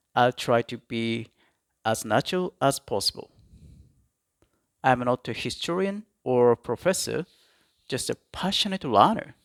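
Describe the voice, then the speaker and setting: A Japanese accent in a dry, close sound with no echo, very clean recording with a silent background. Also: man. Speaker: history YouTuber. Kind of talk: educational talk. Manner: halting, self-correcting.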